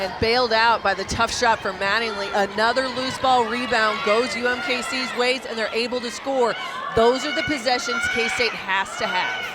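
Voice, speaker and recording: Noticeable background noise is present. The speaker moves at a moderate pace. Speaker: color commentator, basketball analyst. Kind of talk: sports broadcast analysis. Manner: explanatory, fluent, conversational.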